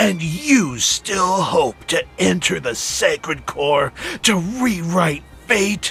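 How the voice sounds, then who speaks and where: A man growls in a put-on character voice at a very slow pace. Clear music plays in the background. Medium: audio drama. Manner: scornful.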